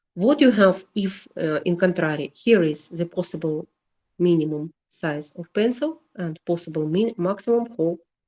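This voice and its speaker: Speaking with a Russian accent, a woman uses a fairly low pitch and a dark, mellow tone at a fairly slow pace with ordinary pitch variation, recorded dry and close with no echo. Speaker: engineering lecturer. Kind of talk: lecture. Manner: halting.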